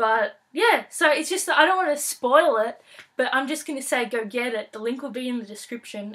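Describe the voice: A woman with a fairly high pitch and fairly bright tone talks at a moderate pace, showing ordinary pitch variation and a slightly husky edge.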